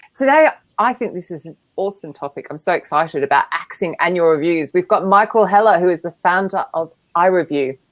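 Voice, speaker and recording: An enthusiastic woman with an Australian accent speaks with lively intonation. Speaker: show host introducing a guest. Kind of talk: casual, playful. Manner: chatty, enthusiastic.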